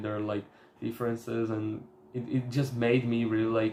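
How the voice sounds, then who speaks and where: At a moderate pace, a man with a Slovak accent speaks at medium pitch. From Slovakia. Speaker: self-improvement youtuber. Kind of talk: casual vlog talk. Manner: halting, with fillers.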